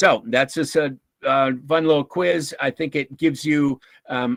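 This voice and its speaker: A man with a normal speaking voice and a fairly high pitch shows ordinary pitch variation, the sound dry and close with no echo. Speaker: workshop speaker on emotional intelligence. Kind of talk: lecture. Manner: casual, many fillers.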